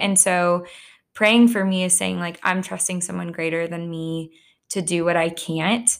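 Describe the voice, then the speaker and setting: On a very clean recording with a silent background, a woman with an American accent uses an ordinary speaking voice, fairly low in pitch with fairly even intonation. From Texas (Plano). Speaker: school counselor. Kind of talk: casual interview.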